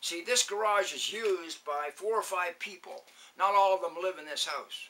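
In a raised, projected voice, a man speaks at a fairly slow pace. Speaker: vlogger. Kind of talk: casual vlog chat. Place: garage. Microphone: camera far.

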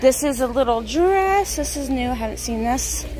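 Against clear background noise, a woman with a high pitch speaks at a moderate pace with lively intonation.

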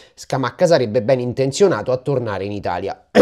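Over a quiet background, a man talks at a moderate pace. His pitch swings very widely. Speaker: football YouTuber. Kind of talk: casual vlog-style football news. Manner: animated. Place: home room. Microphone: lapel.

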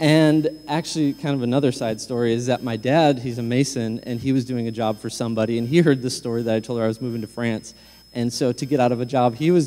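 A man with an American accent rushes along at a very fast pace with hardly any pauses and fairly even intonation. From Michigan. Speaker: pastor. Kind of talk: sermon. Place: church.

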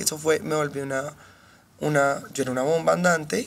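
Fairly quick and fairly even in intonation, a woman speaks at a very deep, low pitch with vocal fry. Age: 30s. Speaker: podcast guest. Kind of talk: casual chat. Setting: studio.

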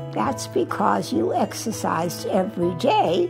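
A woman speaks over clear background music. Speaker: retirement community resident. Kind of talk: interview answer. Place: home room.

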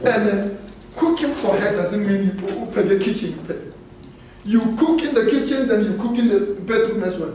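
A man speaks at a moderate pace in a high voice, with ordinary pitch variation. The room echo is audible and there is light background noise. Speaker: speaker. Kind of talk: sermon-like talk. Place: hall.

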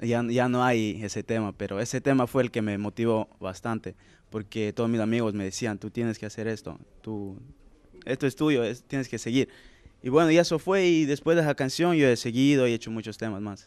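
A man talks at a moderate pace with ordinary pitch variation. The sound is dry with no echo. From Latin America, childhood until 7, then Sweden. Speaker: singer; interviewee. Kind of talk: casual interview. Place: hall. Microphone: handheld.

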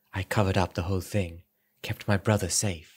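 Somewhat breathy, a man speaks at a very deep, low pitch. His intonation is fairly even. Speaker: audiobook narrator. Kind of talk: dramatic audiobook reading.

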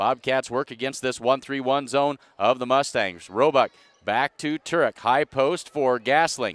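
The delivery is animated and fairly slow, with big swings in loudness and ordinary pitch variation. The sound is dry, with no echo. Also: man. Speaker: sports commentator. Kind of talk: live commentary. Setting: arena broadcast, live stream. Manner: animated, clipped. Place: hall.

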